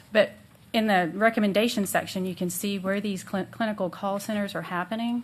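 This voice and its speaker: The speaker talks at a fairly quick pace in a somewhat breathy voice with monotone, flat intonation. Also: woman, medium pitch for a woman. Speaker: mental health policy consultant. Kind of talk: presentation to city council.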